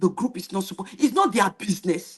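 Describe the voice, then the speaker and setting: A woman with a medium pitch sounds animated and somewhat breathy, with ordinary pitch variation. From Nigeria, Benin (Edo). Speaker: YouTube reaction streamer. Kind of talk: live stream monologue. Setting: live stream.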